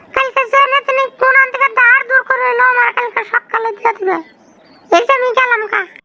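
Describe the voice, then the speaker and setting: A woman uses a cartoonish character voice at an extremely high pitch and a moderate pace, with a dry, close sound and no echo. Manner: repetitive, pleading.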